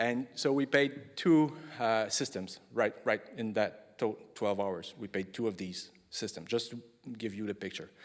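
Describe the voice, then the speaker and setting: With a French accent, a man speaks with lively intonation. The recording is very clean, with a silent background. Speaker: engineering project manager presenting at a conference. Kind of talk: conference lightning talk. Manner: halting, many fillers and restarts; hurried.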